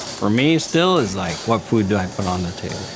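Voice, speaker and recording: A man with a fairly low pitch talks while noticeable background noise is present. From Iran. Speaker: head chef. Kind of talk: documentary interview.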